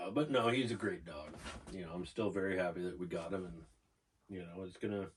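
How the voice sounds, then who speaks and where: A man's very deep, low voice, somewhat breathy, at a fairly quick pace with big swings in loudness and ordinary pitch variation. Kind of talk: casual podcast conversation.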